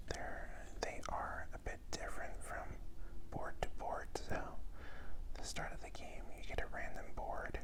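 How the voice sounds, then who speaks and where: A man whispering amid noticeable background noise. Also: fairly slow pace. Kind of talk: ASMR board game review, soft-spoken. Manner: soft-spoken, whispering.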